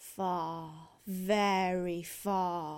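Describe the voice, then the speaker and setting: A female-sounding, put-on character voice at a medium pitch drawls in a monotone, flat intonation. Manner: drawling.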